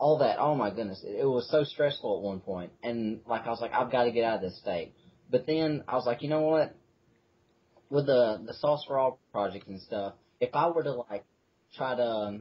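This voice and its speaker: At a moderate pace, a man talks in a somewhat breathy voice with a medium pitch and ordinary pitch variation. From Mississippi. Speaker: atheist activist. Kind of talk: casual interview. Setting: front porch. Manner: casual, filler-heavy.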